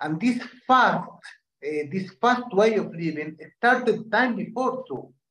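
Speaking very slowly in a Spanish accent, a man uses a high pitch with ordinary pitch variation. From Argentina, Syrian family. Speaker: dance teacher. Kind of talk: interview.

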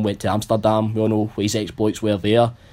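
This voice has a North Lanarkshire accent. The pace is very fast. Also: man. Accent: Scottish, North Lanarkshire. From North Lanarkshire, Scotland. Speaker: football panelist. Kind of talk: casual chat.

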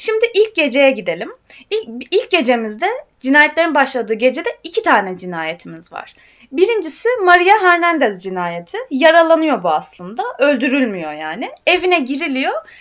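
A woman speaks at a moderate pace in a high voice with very wide pitch swings. Her loudness also swings widely. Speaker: podcast host. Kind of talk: casual chat about true crime. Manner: chatty, informal.

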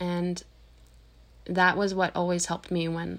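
With a Canadian accent, a woman of fairly low pitch talks at a fairly slow pace in a monotone, flat intonation. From Canada, Nova Scotia then Ontario. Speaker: podcast host, teacher and mother. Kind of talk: interview.

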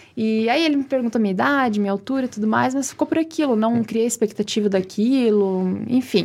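Her fairly high pitch and ordinary pitch variation mark a woman's ordinary speaking voice, delivered at a fairly quick pace with very even loudness. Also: hardly any pauses. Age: 20s. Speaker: beauty pageant queen. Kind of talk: casual interview chat.

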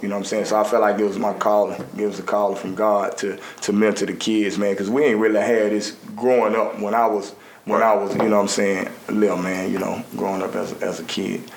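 A man's fairly low voice at a fairly quick pace, with audible room echo and noticeable background noise. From US South, Birmingham, Alabama. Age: 40s. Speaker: ex-prisoner and youth mentor. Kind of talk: interview testimony. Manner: casual, frequent filler.

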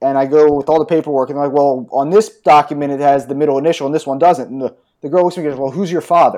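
This man has a fairly high pitch and a dark, mellow tone, speaking with an American accent. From US Northeast, outside New York. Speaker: stock market analyst. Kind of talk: casual chat.

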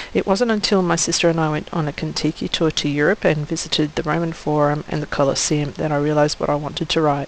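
Very fast and with hardly any pauses, a woman talks in an Australian accent at a very deep, low pitch. Her intonation is fairly even, with noticeable background noise. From Western Australia (country town south of Perth). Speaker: author and teacher. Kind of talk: scripted welcome message.

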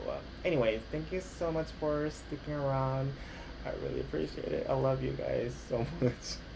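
A man talks at a fairly slow pace, his voice carrying audible room echo and noticeable background noise. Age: 30s. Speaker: podcast host, actor and model. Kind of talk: casual monologue. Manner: halting, self-correcting; laughs often.

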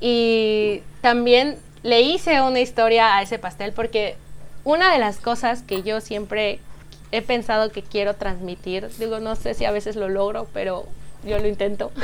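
A woman speaks at a fairly slow pace in a fairly high pitch with ordinary pitch variation, an ordinary speaking voice. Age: 30s. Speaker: pastry chef and bakery founder. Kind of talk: casual interview.

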